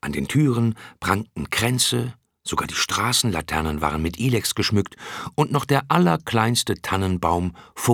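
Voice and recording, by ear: A natural-voiced reading aloud with lively intonation against a quiet background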